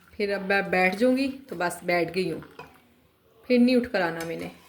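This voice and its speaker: Noticeable background noise and audible room echo surround the recording. A woman speaks at medium pitch and a moderate pace. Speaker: home cook vlogger. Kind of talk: casual cooking vlog. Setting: home kitchen. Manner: chatty.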